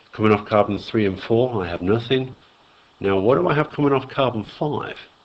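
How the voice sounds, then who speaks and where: A man speaks at a fairly quick pace and medium pitch, with ordinary pitch variation. Noticeable background noise is present. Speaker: chemistry teacher. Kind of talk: lecture.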